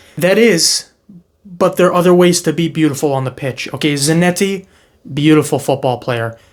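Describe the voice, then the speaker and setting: Speaking in an animated tone with an American accent, a man delivers his words at a moderate pace, in a fairly high pitch with ordinary pitch variation. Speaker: football reaction youtuber. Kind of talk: reaction commentary.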